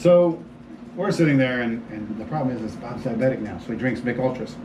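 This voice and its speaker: A man with an American accent talks at a medium pitch with lively intonation and big swings in loudness. Audible room echo and noticeable background noise fill the recording. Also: fairly quick pace. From Florida, US. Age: 50s. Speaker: homeowner, sales prospect. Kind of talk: casual chat. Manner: animated.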